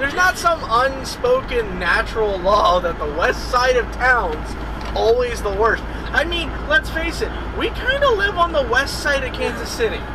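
Noticeable noise sits in the background. A man talks at a fairly slow pace. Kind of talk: casual vlog chat. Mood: joking, playful banter. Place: car.

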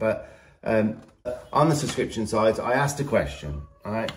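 A man with a British accent speaks at a moderate pace, somewhat breathy. Light background noise sits behind him. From England. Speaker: horse trainer and channel host. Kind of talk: vlog introduction and talking to camera. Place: home room. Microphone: phone near.

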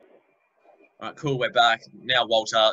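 An Australian-accented man speaks at a medium pitch and a moderate pace. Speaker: podcast host. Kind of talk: casual chat. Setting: video call.

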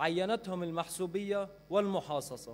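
A man speaks at a moderate pace, keeping his intonation fairly even. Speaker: speaker. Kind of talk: formal speech. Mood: earnest, critical. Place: hall. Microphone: podium.

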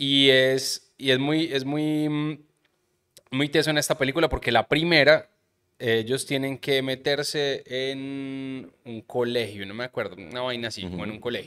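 A man with a Medellín Colombian accent and a bright, sharp tone speaks at a fairly slow pace over a quiet background, with ordinary pitch variation and big swings in loudness. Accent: Colombian paisa (Medellín) Spanish. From Colombia, Medellín. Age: 30s. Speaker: podcast host. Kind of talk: casual chat. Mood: relaxed, joking, storytelling. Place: studio. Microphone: studio mic.

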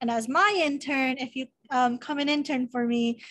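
In an American accent, a woman speaks with a high pitch and monotone, flat intonation over a quiet background. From San Diego, California; California. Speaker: student club officer. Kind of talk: presentation. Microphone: video call.

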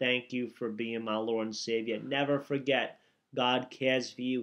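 At a moderate pace, a man is speaking. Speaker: minister. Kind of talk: fervent intercessory prayer, declaring and commanding. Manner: impassioned, commanding, preacher-like cadence. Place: home room. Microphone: webcam.

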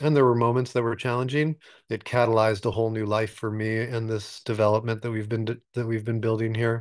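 The background is quiet. A man talks in a monotone, flat intonation. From Alaska. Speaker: retreat center developer. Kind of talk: interview. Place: home room. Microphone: webcam.

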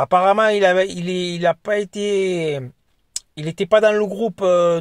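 A man's high, fairly even voice at a fairly slow pace, dry with no echo over a quiet background. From France. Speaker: football YouTuber; football fan vlogger. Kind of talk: casual vlog monologue. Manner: hesitant, many fillers. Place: car. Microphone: phone near.

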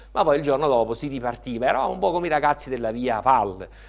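Vocal fry at a very fast pace with ordinary pitch variation. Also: man. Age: 50s. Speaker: professor of industrial ecology; interview guest, university professor. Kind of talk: interview. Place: studio. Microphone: lapel.

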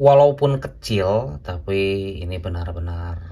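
A man speaks very slowly with very wide swings in pitch. His voice is somewhat breathy. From Indonesia. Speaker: gemstone seller and video reviewer. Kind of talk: sales pitch: a street-market pitchman hawking gemstones, one stone after another. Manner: animated, hyping each stone as luxurious yet cheap. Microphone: phone near.

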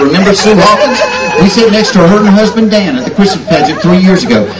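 A man is speaking. Crowd noise carries in the background. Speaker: stand-up comedian. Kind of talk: stand-up comedy routine. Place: stage. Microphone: pa.

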